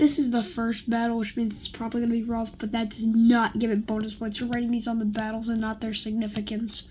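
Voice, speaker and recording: A quiet, somewhat breathy woman's voice, fairly high in pitch, flat and monotone. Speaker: youtuber ranking videos. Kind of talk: casual commentary. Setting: on vacation, at night. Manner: hesitant, many fillers.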